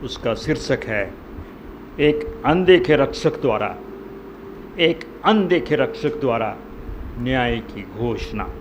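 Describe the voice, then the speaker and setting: A man with long, frequent pauses, audible room echo and noticeable background noise. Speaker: lay preacher. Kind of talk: sermon. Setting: church. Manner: soft-spoken.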